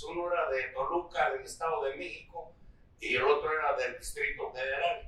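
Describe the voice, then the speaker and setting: Noticeable background noise and audible room echo surround this recording. A man speaks at a moderate pace. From Central Mexico, State of Mexico. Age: 80s+. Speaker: rancher and former cyclist. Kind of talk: interview. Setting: at his ranch. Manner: halting.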